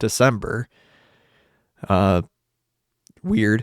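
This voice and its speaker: This is a man's voice. The recording is very clean with a silent background and a dry, close sound with no echo. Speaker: podcast host. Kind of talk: casual solo livecast talk. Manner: rambling, hesitant with fillers.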